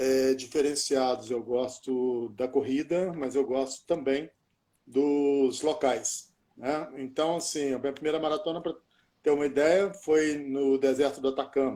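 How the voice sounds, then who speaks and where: A dark, mellow tone moves at a fairly slow pace with fairly even intonation. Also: man, fairly high pitch for a man. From Minas Gerais, Brazil. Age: 60s. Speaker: journalist and ultramarathon runner. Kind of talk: casual chat.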